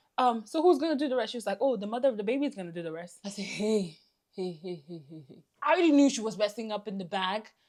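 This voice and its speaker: Speaking very fast with a non-native accent, a woman uses an animated tone. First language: not English. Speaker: beauty vlogger. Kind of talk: storytime vlog.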